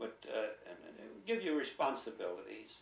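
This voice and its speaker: With an American accent, a man talks at a fairly quick pace amid audible room echo. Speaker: oral history interviewee. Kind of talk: oral history interview.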